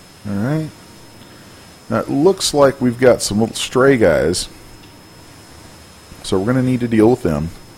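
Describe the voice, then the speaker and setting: A man with an American accent speaks at a medium pitch and moderate pace, his tone playful and intonation lively. Long, frequent pauses break up his speech over noticeable background noise. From US South. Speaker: 3D art instructor. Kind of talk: tutorial. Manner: casual, playful.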